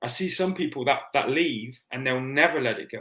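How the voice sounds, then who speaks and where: A man speaks at a very fast pace in a bright, sharp tone, his fairly high pitch held to fairly even intonation. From England, southwest (Plymouth). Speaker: former marine, triple amputee. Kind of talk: casual chat.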